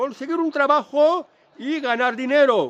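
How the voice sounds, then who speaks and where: Recorded with a dry, close sound and no echo, a man speaks at a fairly slow pace with ordinary pitch variation. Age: 60s. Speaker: vlogger giving financial advice. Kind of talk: casual monologue vlog. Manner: halting, with self-corrections.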